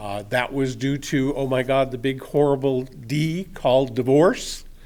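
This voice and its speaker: Fairly high-pitched for a man, this voice moves at a very slow pace. There is audible room echo. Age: 60s. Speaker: resident speaking at public comment. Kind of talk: public comment at city council meeting. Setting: council chamber podium.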